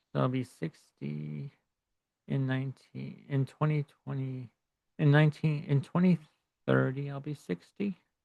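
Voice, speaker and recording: The recording is dry and close with no echo as a man talks at a fairly slow pace with long, frequent pauses. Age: 50s. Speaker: astrologer. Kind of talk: video diary monologue. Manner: halting, many false starts and fillers.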